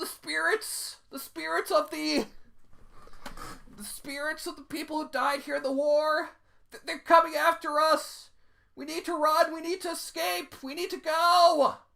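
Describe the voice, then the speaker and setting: This put-on character voice sits high in pitch and keeps a moderate pace. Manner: whimpering, scared.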